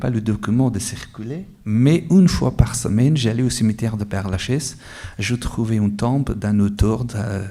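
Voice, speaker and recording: The man's voice has a dark, mellow tone and ordinary pitch variation. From Afghanistan. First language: Dari or Pashto (Afghan language) (speaking French). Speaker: author, award winner. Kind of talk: interview at award ceremony. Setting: award ceremony with audience.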